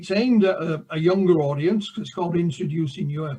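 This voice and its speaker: A man with a Yorkshire accent talks at a fairly quick pace. His voice is fairly high, with ordinary pitch variation. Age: 60s. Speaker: author and UFO researcher. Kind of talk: interview. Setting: live show.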